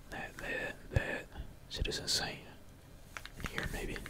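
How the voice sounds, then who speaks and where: A man whispers at a fairly slow pace. There is noticeable background noise. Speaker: gaming streamer / ASMR gamer. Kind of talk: casual talk to camera, gameplay commentary. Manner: casual, slangy, energetic.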